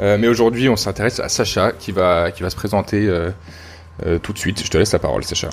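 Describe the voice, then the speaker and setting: With music in the background, a man at a fairly low pitch speaks at a fairly quick pace with fairly even intonation and long, frequent pauses. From France, Rhône-Alpes. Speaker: podcast host. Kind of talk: casual chat. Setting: at guest's home. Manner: hesitant, many fillers.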